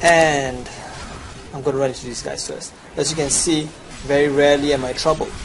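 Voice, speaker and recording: Over noticeable background noise and audible room echo, a man with a Chinese accent talks at a moderate pace with a fairly high pitch. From China. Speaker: gamer. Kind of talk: gameplay tutorial sales pitch.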